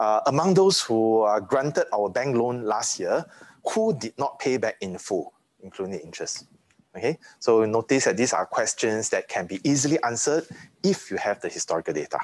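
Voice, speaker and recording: The speech moves at a moderate pace in a dry sound with no echo. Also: man. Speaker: university lecturer. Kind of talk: lecture. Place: classroom.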